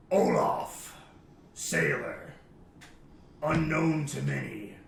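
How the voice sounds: A put-on character voice, booming and raspy, goes at a very slow pace with a slight echo. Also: man.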